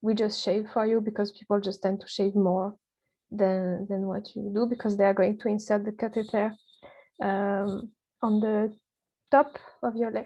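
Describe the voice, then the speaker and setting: A woman speaks at a moderate pace and medium pitch with a non-native accent. Her intonation is fairly even, broken by long, frequent pauses, over a quiet background. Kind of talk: personal experience talk to camera.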